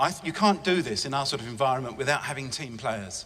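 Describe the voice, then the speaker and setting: Here a man speaks with an English accent. His intonation is lively. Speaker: estate agency director. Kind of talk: conference talk. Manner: fast; enthusiastic.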